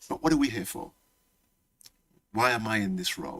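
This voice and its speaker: A man speaks with a Leicester accent. His tone is animated. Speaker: college principal. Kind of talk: welcome speech. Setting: hall with live audience. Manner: animated, repetitive.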